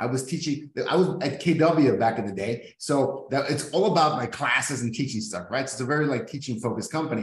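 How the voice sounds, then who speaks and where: A man in a Californian accent, fairly high in pitch, with lively intonation and a very fast pace. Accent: Californian-sounding American English. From Mexico, US border. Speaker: real estate business owner. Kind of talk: casual chat.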